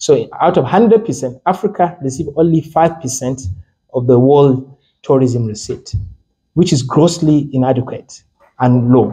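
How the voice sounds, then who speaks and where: There is a dark, mellow tone to this man's voice as he talks at a fairly slow pace. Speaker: lecturer. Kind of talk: lecture. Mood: lively, occasionally laughing. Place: meeting room. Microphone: handheld.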